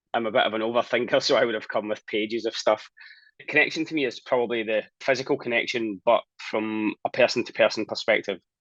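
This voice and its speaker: In a Scottish accent, a man talks at a very fast pace, the sound dry and close with no echo against a quiet background. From Scotland. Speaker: talent and people strategist. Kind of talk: interview.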